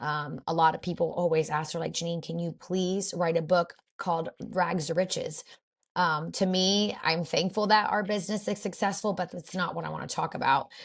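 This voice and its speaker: A woman's somewhat breathy, fairly low-pitched voice with fairly even intonation, in a very clean recording with a silent background. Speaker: boutique owner. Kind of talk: interview conversation. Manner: fast.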